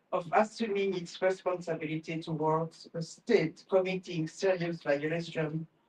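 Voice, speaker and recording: This woman has a fairly low pitch and fairly even intonation. She talks at a fairly slow pace. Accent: French. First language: French. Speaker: professor. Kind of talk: reading aloud; panel talk. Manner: halting.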